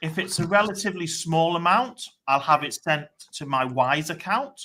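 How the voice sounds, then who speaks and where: A man's high-pitched, bright, sharp voice with a British accent, lively intonation and a moderate pace. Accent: British (noticeable). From England, Chester. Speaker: online marketer. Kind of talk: casual chat. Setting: live stream.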